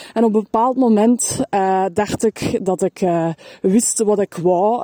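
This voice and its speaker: In a Flemish accent, a woman speaks with a dark, mellow tone and ordinary pitch variation, the sound dry and close with no echo. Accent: Flemish Dutch. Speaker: podcaster and self-employed business coach. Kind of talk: personal testimony. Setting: walking outdoors in a forest. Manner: hesitant, many filler sounds.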